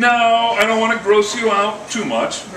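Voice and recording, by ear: A man talks at a fairly slow pace in a fairly high voice with a bright, sharp tone. Room echo is audible.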